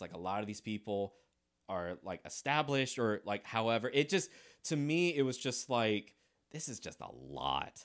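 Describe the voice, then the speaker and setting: A man with an ordinary speaking voice and lively intonation talks at a moderate pace on a very clean recording with a silent background. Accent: American. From South Carolina. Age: 30s. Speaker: artist and former balloon twister. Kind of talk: casual chat.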